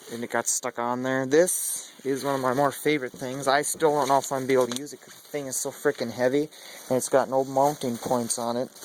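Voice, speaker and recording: A man speaks at a very fast pace in a medium pitch, his intonation monotone and flat, his loudness swinging widely, over noticeable background noise. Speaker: car enthusiast vlogger. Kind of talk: casual vlog walkthrough. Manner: casual, filler-heavy.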